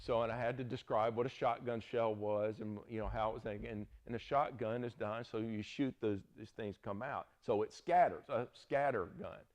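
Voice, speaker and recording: Here a man speaks with a Southern US accent. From US South. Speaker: Bible teacher. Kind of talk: lecture. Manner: casual, conversational.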